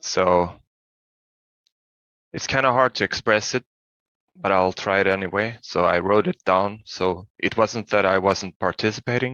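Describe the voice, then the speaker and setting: Long, frequent pauses break up the speech of a man with a non-native accent. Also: fairly even intonation. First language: not English. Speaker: workshop participant. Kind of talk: casual chat. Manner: halting.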